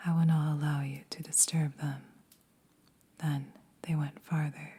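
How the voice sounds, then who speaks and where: A soft-spoken, somewhat breathy woman speaks in a very deep, low pitch with monotone, flat intonation. Her pace is fairly slow, with long, frequent pauses. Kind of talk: story reading.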